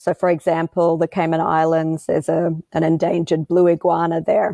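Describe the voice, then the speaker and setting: In an Australian accent, a woman talks at a fairly quick pace with a fairly low pitch and a dark, mellow tone, the sound dry and close with no echo over a quiet background. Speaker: wildlife photographer and filmmaker. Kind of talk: interview. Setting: studio.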